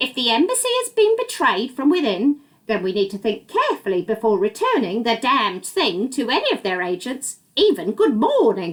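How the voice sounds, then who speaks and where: A female-sounding put-on character voice, high-pitched, with hardly any pauses. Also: moderate pace. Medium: read story. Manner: calm, knowing.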